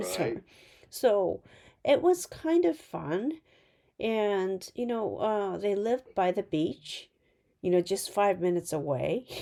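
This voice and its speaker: A woman's medium-pitched, dark and mellow voice, very slow and full of long, frequent pauses, with lively intonation, on a very clean recording with a silent background. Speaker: podcast host. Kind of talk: casual conversation. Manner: hesitant, many fillers.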